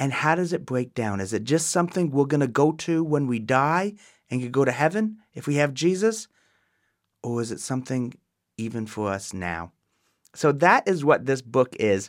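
Against a silent background in a very clean recording, a man speaks at a moderate pace with a fairly high pitch and very wide pitch swings. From Ontario, Canada. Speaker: pastor. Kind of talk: teaching podcast monologue.

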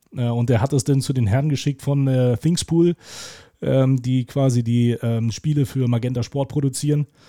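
This man's voice has a dark, mellow tone at medium pitch, with fairly even intonation and very even loudness. He keeps a moderate pace, and the sound is dry and close with no echo. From Lower Saxony, Germany (Hildesheim). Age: 40s. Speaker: sports commentator. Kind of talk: casual interview. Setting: video call.

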